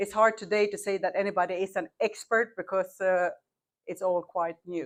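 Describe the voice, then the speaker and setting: In a Swedish accent, a woman talks at a moderate pace with medium pitch. Her intonation is flat and monotone, against a quiet background. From Sweden. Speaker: marketing agency owner, panelist. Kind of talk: panel discussion.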